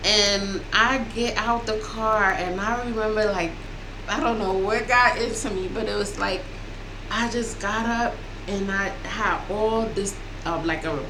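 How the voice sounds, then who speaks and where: There is noticeable background noise and audible room echo behind this woman. She speaks fairly slowly at a fairly high pitch with ordinary pitch variation. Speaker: vlogger. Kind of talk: testimony. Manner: loud; halting.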